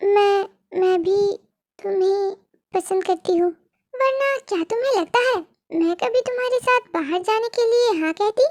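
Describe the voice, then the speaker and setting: Using a put-on character voice, a woman speaks at an extremely high pitch and a moderate pace with long, frequent pauses, very even loudness, and a dry, close sound with no echo. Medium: fan dub. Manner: playful, teasing.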